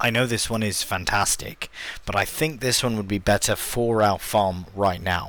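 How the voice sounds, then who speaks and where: A man with a British accent and a fairly low pitch speaks at a moderate pace. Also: ordinary pitch variation. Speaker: gaming YouTuber. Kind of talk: let's play commentary. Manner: quiet; casual, hesitant with fillers.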